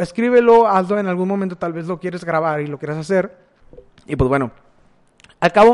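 A man with a northern Mexican accent speaks at a fairly quick pace in a high pitch with ordinary pitch variation, leaving long, frequent pauses. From Mexico, Matamoros, Tamaulipas. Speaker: podcast host. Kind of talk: personal monologue. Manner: casual, with hesitations.

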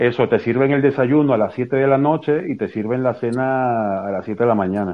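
A man speaks in a plain, everyday voice at a medium pitch. His pace is moderate, with ordinary pitch variation. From Venezuela. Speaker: Venezuelan activist. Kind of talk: live audio space discussion.

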